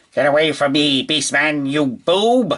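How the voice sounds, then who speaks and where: A man puts on a character voice, pitched fairly high. He talks at a moderate pace. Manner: theatrical, scornful.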